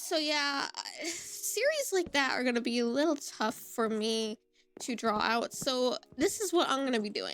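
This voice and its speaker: A woman speaks loudly. Her intonation is lively. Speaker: gaming YouTuber. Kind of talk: casual chat. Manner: rambling.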